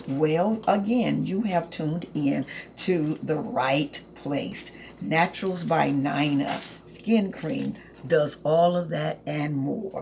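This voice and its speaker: Over noticeable background noise, a woman speaks at a very slow pace. Her pitch is very deep and low, yet her intonation is lively. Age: 60s. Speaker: herbal skincare product maker. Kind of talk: casual sales pitch to camera. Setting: home apothecary, recording to camera. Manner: animated, chatty.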